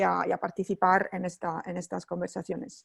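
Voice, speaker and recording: This woman speaks with a non-native accent at a medium pitch and a moderate pace, her voice showing vocal fry in a dry, close sound with no echo. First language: not Spanish (speaking Spanish). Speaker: NGO researcher. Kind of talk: webinar presentation. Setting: online webinar. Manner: halting, many fillers.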